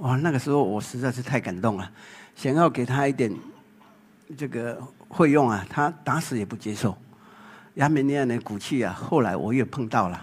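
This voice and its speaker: A man speaks at a medium pitch and a moderate pace, with ordinary pitch variation and long, frequent pauses. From Taiwan. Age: 60s. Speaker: photographer. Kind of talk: public talk.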